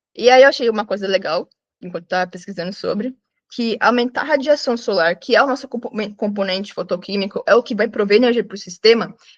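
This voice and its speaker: Speaking at a fairly quick pace, a woman with a fairly high pitch and ordinary pitch variation is recorded with a dry, close sound and no echo. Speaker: student. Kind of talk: student presentation. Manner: fast; halting.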